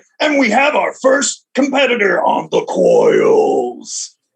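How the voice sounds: A man puts on a character voice, pitched extremely high and swinging very widely, at a fairly slow pace.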